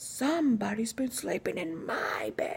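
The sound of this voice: A female-sounding voice growls in a put-on character voice. The pace is fairly slow.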